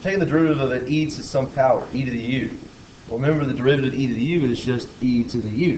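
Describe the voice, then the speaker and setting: Amid noticeable background noise and audible room echo, a man speaks very fast at a medium pitch with ordinary pitch variation. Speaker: math teacher. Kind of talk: lecture; casual chat.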